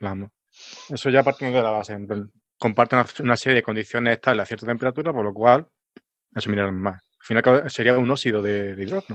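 Recorded dry and close with no echo, a man speaks at a fairly quick pace with medium pitch and ordinary pitch variation. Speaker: geologist and science communicator. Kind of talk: casual science chat. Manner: halting, many fillers.

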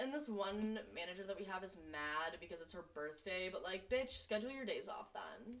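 With lively intonation and hardly any pauses, a woman talks at a moderate pace in a medium pitch. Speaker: podcast co-host. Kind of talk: casual chat. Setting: home recording with laptop. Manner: animated; loud.

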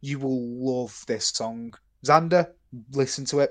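With a British accent, a man speaks at medium pitch and a fairly slow pace, his intonation fairly even over a quiet background. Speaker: podcast co-host. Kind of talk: casual chat. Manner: low energy.

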